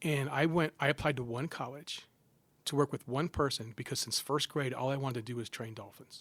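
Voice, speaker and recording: The man's voice sits at a medium pitch and moves at a fairly quick pace. Dry, close sound with no echo. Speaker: psychology professor. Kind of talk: casual interview chat. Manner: animated storytelling with frequent false starts.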